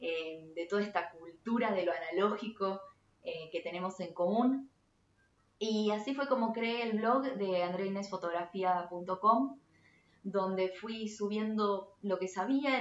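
A woman with a Rioplatense accent speaks at a fairly slow pace, at a medium pitch with ordinary pitch variation. Audible room echo surrounds her voice. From Argentina, Buenos Aires. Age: 30s. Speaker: photography teacher. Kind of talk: tutorial. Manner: hesitant, frequent fillers. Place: home room.

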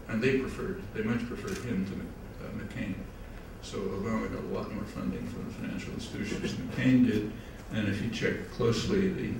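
A man speaks at a fairly quick pace. There is audible room echo and noticeable background noise. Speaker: guest lecturer. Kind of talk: lecture. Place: hall.

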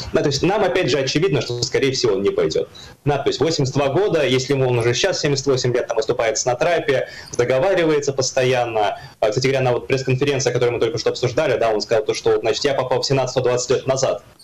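Noticeable background noise sits behind a man talking very fast. His loudness stays very even. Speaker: political scientist. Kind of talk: political talk show discussion. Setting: remote video link. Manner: hesitant, many filler words.

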